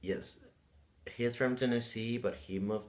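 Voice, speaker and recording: Ordinary pitch variation in a man's voice, with a Spanish accent. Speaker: vlogger. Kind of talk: casual vlog. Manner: halting.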